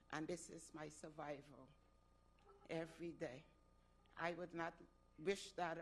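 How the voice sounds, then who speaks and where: A woman with a very deep, low pitch speaks at a moderate pace, with long, frequent pauses and big swings in loudness. Audible room echo surrounds her voice. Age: 70s. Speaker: resident speaking at public comment. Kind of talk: public comment at council meeting. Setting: city council chamber.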